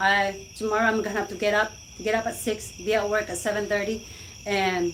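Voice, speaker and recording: At a moderate pace, a woman talks in a medium pitch. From Philippines, Cebu. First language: Cebuano/Filipino. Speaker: live-stream vlogger. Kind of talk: casual live-stream chat. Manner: animated.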